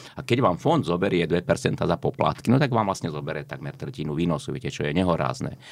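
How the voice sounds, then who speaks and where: Very deep and low, a man's voice races at a very fast pace with hardly any pauses, very wide pitch swings and vocal fry. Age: 60s. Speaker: economist. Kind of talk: interview.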